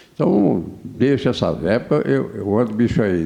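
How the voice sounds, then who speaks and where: Man with vocal fry at a fairly slow pace. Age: 70s. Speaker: former mayor and businessman. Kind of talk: interview. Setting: studio. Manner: halting, many repetitions.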